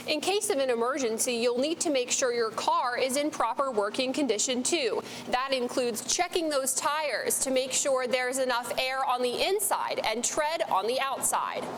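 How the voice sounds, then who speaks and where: Lively intonation and very even loudness carry speech at a moderate pace with hardly any pauses, over noticeable background noise. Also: woman, high pitch for a woman. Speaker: TV news reporter. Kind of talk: TV news live reporter stand-up.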